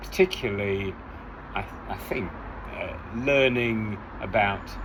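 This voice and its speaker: A man talks at a fairly slow pace in a fairly low pitch with ordinary pitch variation. Noticeable background noise and audible room echo are present. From Yorkshire, northern England. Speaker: Samaritans volunteer and consultant. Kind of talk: interview. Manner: hesitant, many fillers.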